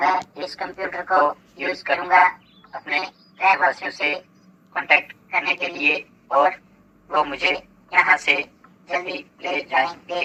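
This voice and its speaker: In a cartoonish character voice at a middle pitch, the speech runs fairly slowly with long, frequent pauses. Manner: friendly, reassuring.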